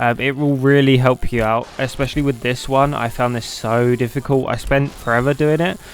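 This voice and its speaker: Over noticeable background noise, a man at medium pitch talks at a fairly quick pace with fairly even intonation and hardly any pauses. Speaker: gaming youtuber. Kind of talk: game tutorial. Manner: casual.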